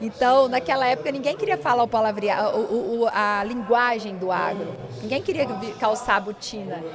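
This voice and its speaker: A woman with a fairly high pitch and ordinary pitch variation at a moderate pace, amid audible room echo and noticeable background noise. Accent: strong Minas Gerais. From interior of Minas Gerais, Brazil. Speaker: lawyer and podcast host. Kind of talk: podcast interview conversation. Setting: at a conference.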